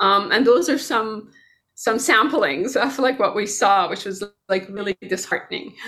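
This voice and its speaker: Speaking at a moderate pace, a woman has a fairly high pitch, a bright, sharp tone and lively intonation. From Iran. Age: 50s. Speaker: computer science professor. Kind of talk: casual interview.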